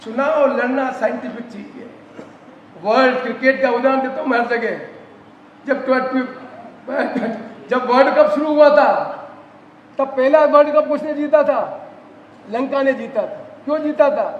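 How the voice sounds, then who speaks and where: Extremely high-pitched for a man, this voice has fairly even intonation, big swings in loudness, and long, frequent pauses. Noticeable background noise and audible room echo fill the recording. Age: 70s. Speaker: politician. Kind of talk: political speech. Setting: party workers' convention with audience.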